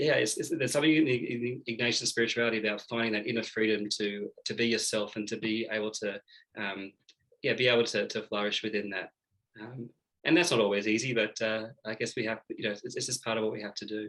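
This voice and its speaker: A man with an Australian accent talks at a very fast pace. His medium pitch holds fairly even intonation. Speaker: Jesuit seminarian. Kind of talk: interview. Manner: hesitant, many fillers.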